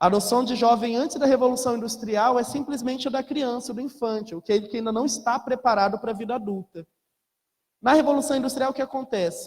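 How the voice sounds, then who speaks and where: Talking at a fairly quick pace, a man uses an extremely high pitch with ordinary pitch variation. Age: young. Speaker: lecturer. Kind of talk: lecture.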